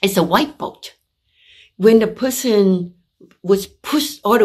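A woman talks at a very slow pace with ordinary pitch variation. The background is quiet. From Vietnam (Saigon); Vietnam. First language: Vietnamese. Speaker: visual artist. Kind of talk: artist talk presentation; artist talk about own paintings. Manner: halting, with fillers.

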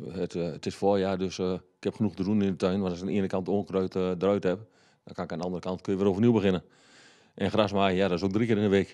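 A man's very deep, low voice with a dark, mellow tone, monotone and flat, at a very fast pace over a quiet background. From Haaksbergen, Twente, eastern Netherlands; Netherlands. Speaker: local politician. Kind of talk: interview. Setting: studio. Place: studio. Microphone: handheld.

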